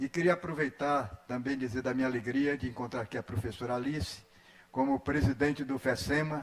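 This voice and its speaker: Noticeable background noise runs under a man's speech. He uses a medium pitch, ordinary pitch variation and a fairly quick pace. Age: 80s+. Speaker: educator, education council member. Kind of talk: formal speech at solemn session. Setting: legislative assembly ceremony.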